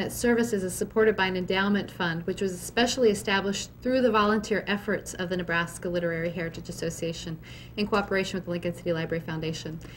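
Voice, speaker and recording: Somewhat breathy, a woman talks very fast with hardly any pauses and ordinary pitch variation. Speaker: library curator. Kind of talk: formal event introduction. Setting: library event with live audience.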